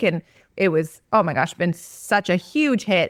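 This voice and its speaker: A normal speaking voice from a woman at medium pitch and a fairly slow pace, dry and close with no echo, in a very clean recording with a silent background. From Canada. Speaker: online course entrepreneur. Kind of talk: podcast interview.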